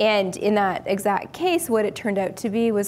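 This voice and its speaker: Light background noise sits beneath speech delivered at a moderate pace. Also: woman. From Canada, northern British Columbia. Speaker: clinical microbiologist; guest. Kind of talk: technical interview. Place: studio.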